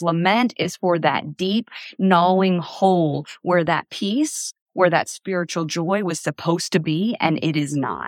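A woman speaks with a strong Appalachian accent at a fairly slow pace and a fairly low pitch, with ordinary pitch variation. The recording is very clean with a silent background and a dry, close sound with no echo. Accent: Appalachian Southern US, thick. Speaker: author. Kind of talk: casual interview conversation.

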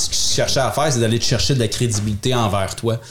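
The voice is somewhat breathy, with a Quebec accent. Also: man. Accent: Québécois French. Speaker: podcast co-host. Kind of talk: casual chat.

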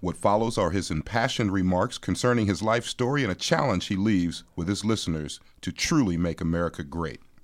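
The man talks fairly quickly with hardly any pauses in a normal speaking voice. His fairly low pitch carries lively intonation. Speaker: community radio host. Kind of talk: radio interview. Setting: studio.

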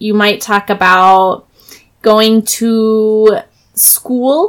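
Using a put-on character voice, a woman speaks very slowly in a fairly high, nasal voice with fairly even intonation.

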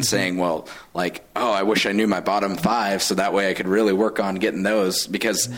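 At a moderate pace, a man talks in a plain, everyday voice with a fairly low pitch. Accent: American. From Colorado. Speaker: chat room moderator. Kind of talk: casual chat.

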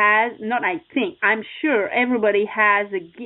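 A woman with a non-native accent, fairly high pitch, ordinary pitch variation and a fairly slow pace. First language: not English. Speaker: success coach and motorcycle racer. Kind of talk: interview. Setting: radio show.

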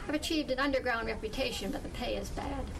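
A woman speaks very fast while noticeable noise runs in the background. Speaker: author reading from her book. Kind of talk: reading aloud from a novel, with dialogue. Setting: bookstore book launch with audience.

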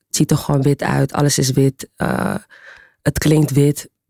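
A woman's voice, very deep and low in pitch. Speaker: club and ballroom scene figure. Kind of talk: panel discussion.

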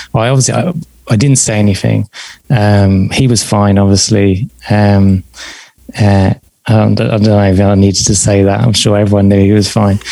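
With a southern English accent, a man speaks at a moderate pace and fairly low pitch in a dark, mellow tone. His intonation stays fairly even and his loudness very even. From southern England. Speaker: podcast host and psychotherapist in training. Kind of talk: interview.

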